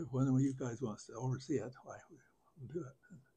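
A man's voice comes through with a dark, mellow tone and is somewhat breathy. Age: 80s+. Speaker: farmer. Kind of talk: interview answer. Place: home room. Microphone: lapel.

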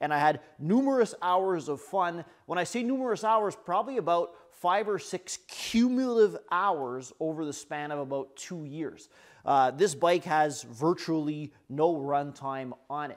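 Fairly slow delivery with big swings in loudness over a quiet background. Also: man, high pitch for a man. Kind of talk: casual vlog chat. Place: workshop.

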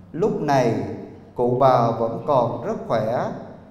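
Speaking at a very slow pace, a man is heard with light background noise and audible room echo. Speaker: ceremony emcee. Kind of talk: formal ceremonial announcement. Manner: formal. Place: hall. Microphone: handheld.

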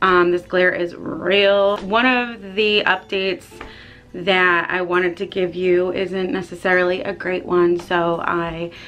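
A woman over light background noise. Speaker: pet vlogger. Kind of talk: casual vlog chat. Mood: light, slightly apologetic. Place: home room. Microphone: phone near.

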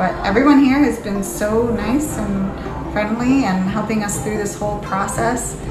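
Clear music plays behind a woman who speaks at a fairly slow pace. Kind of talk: casual vlog chat. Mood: calm, relieved. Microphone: phone near.

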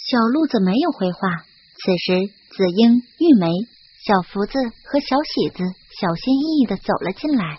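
A woman with a slightly husky edge speaks at a medium pitch with lively intonation. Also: moderate pace.

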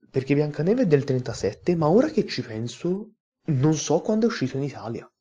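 A somewhat breathy, dark and mellow male voice with a fairly high pitch. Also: moderate pace. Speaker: YouTube film reviewer. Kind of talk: casual video review monologue. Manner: animated.

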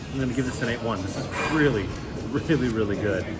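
Loud music plays behind a man whose pitch varies in an ordinary way. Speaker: beer reviewer. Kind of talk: casual vlog chat. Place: bar. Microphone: phone near.

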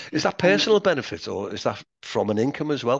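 A man at a very fast pace, with very wide pitch swings, dry sound with no echo and a quiet background. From Liverpool, England. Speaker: interviewer; interviewer, host. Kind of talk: casual chat. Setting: video call. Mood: friendly, smiling. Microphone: headset.

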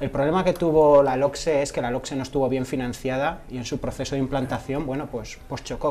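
A man talks at a fairly high pitch. His intonation stays monotone and flat. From Spain. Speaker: teacher and left-wing party member; teacher. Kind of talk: televised debate. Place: studio.

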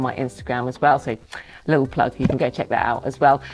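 A woman speaks at a very fast pace. Noticeable background noise runs under her voice. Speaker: photographer vlogger. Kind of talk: casual vlog chat. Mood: upbeat, pleased. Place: home room.

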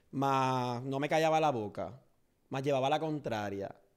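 A man at a moderate pace with ordinary pitch variation against a quiet background. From Puerto Rico, Orocovis; Puerto Rico. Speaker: social media comedian; podcast guest. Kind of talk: interview. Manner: loud. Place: studio. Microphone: studio mic.

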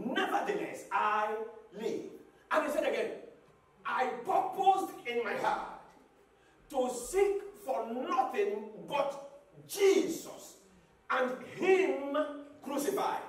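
A man shouts at an extremely high pitch and a very slow pace. Long, frequent pauses break it up, with audible room echo. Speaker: pastor. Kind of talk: sermon. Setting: church with congregation. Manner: call-and-response preaching, repeating key phrases, urging the congregation to shout back; emphatic, rhythmic, rising to exhortation and closing with fervent prayer. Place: church.

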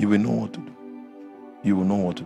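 Faint music plays softly behind the voice. The speaker is a man. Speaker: preacher. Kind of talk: sermon. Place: hall. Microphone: handheld.

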